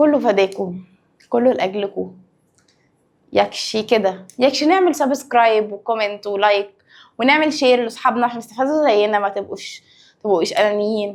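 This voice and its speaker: With an Egyptian accent, a woman speaks at a fairly high pitch and a moderate pace with ordinary pitch variation, on a very clean recording with a silent background. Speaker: science teacher. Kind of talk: lecture. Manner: lowered, quieter voice.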